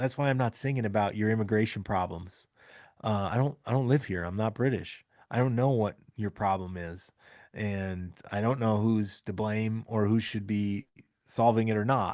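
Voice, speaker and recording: A man with an American accent speaks in an ordinary speaking voice, his pitch fairly low. His intonation stays fairly even at a moderate pace against a quiet background. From Minnesota, US Midwest. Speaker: trucker podcast host. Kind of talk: podcast monologue. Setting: recorded in Birmingham, England.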